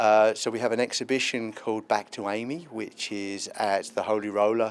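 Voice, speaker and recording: A man with a British accent is heard on a very clean recording with a silent background. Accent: British, noticeable. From London (Hackney), England. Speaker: tech incubator representative. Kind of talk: interview. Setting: live event interview at a festival.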